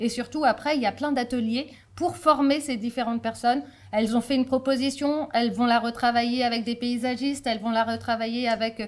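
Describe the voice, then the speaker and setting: A woman with a high pitch speaks at a fairly quick pace, keeping her intonation fairly even. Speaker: deputy mayor, local politician. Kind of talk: conference talk. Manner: fast; hesitant, many fillers.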